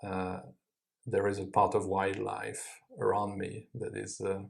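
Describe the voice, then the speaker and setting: In a French accent, a man speaks at a fairly slow pace. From France, Paris suburbs. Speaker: IELTS mock test candidate. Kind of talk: exam interview answers. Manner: hesitant, many fillers.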